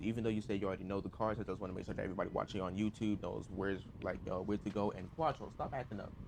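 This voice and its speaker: Using a fairly low pitch and vocal fry, a man rushes along at a very fast pace with fairly even intonation. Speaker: video game streamer. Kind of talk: gameplay tutorial. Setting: live stream. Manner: halting, stuttering.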